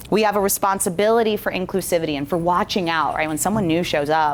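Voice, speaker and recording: At a very fast pace, a woman with a fairly low pitch talks in an animated tone with ordinary pitch variation. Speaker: corporate workshop presenter. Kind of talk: interactive breakout session talk.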